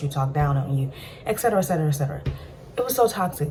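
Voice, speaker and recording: Talking at a very fast pace, a woman with a very deep, low pitch is heard over noticeable background noise. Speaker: storytime vlogger. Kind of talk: personal storytelling monologue.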